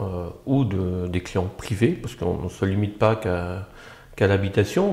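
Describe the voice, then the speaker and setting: With a slight Belgian accent, a man speaks fairly slowly in a fairly low, somewhat breathy voice with a dark, mellow tone. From Belgium, Brussels. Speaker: architect, agency founder. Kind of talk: interview. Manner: halting, many hesitations.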